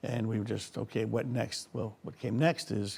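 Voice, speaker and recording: A man with an American accent speaks at a moderate pace in a dark, mellow tone with vocal fry and fairly even intonation. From US Northeast. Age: 70s. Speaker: resort owner. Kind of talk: interview.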